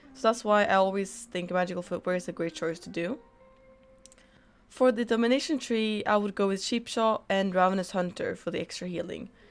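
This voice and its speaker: Over music in the background, the speaker moves at a fairly quick pace with ordinary pitch variation. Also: woman. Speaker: gaming streamer giving a game guide. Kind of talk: tutorial. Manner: scripted, steady explanatory delivery.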